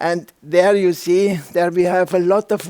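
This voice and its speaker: A man with a high voice speaks at a very slow pace. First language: German. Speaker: architect and rammed earth builder. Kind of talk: lecture. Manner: halting, many fillers.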